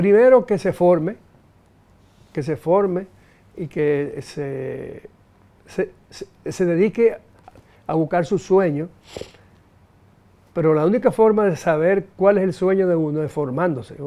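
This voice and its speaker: A man talks at a very slow pace in a high pitch. His speech has long, frequent pauses. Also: ordinary pitch variation. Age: 70s. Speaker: businessman and economist. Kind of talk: interview. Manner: halting, many repetitions and fillers.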